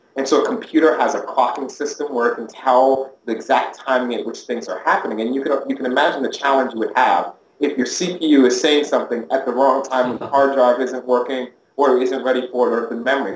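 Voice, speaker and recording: A man races along at a very fast pace with hardly any pauses and ordinary pitch variation, amid audible room echo and light background noise. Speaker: interviewee. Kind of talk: interview answer. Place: office.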